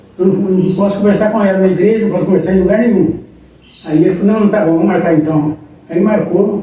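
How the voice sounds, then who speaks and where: A man with a high voice talks very fast, with audible room echo and noticeable background noise. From Brazil, Minas Gerais (Contagem). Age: 70s. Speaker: pastor. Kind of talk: interview, life story. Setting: live-streamed interview.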